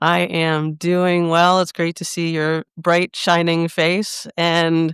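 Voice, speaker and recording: In a very clean recording with a silent background and a dry, close sound with no echo, a woman speaks with monotone, flat intonation. Her pace is very slow and her pitch fairly low. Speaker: executive coach and podcast host. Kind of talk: podcast interview host.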